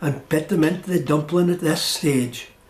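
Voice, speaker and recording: A man's high voice, with ordinary pitch variation, moves at a moderate pace while noticeable background noise carries on. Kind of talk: documentary narration.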